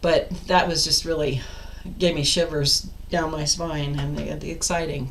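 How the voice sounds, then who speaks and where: A woman talks at a moderate pace with fairly even intonation. Audible room echo and noticeable background noise surround her voice. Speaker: life coach. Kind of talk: casual vlog monologue. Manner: loud.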